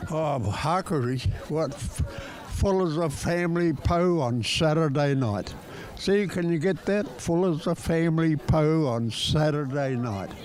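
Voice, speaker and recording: In a room with audible echo and noticeable background noise, a man speaks at a fairly slow pace with a fairly high pitch and ordinary pitch variation. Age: 80s+. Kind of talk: casual chat. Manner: animated.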